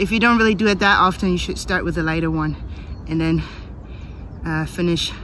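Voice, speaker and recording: Speech comes at a fairly quick pace in a dry sound with no echo, over light background noise. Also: woman. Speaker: footballer giving a workout tutorial. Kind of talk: tutorial. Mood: relaxed, upbeat. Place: forest. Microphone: phone near.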